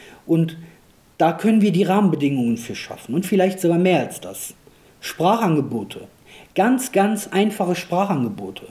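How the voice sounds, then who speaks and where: At a moderate pace, a man with a high, dark, mellow voice uses lively intonation and long, frequent pauses. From Germany, Rhineland (came from Kosovo aged 2.5). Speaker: parliamentary candidate and local politician. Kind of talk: political interview.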